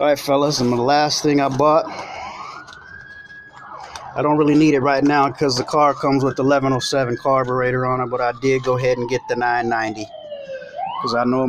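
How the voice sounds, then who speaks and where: Fairly quick, fairly even speech from a man over light background noise. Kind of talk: casual unboxing vlog chat. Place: workshop. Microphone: phone near.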